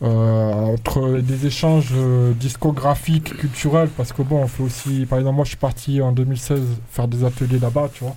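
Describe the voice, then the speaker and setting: A man's medium-pitched, monotone, flat delivery at a moderate pace, with noticeable background noise. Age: 40s. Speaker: radio DJ and rapper. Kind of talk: casual chat. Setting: studio.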